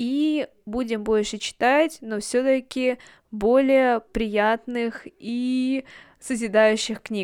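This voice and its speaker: A high-pitched woman at a very slow pace with fairly even intonation, dry, close sound with no echo, very clean recording and silent background. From Russia, Yekaterinburg. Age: 20s. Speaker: podcast host. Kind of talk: monologue book review.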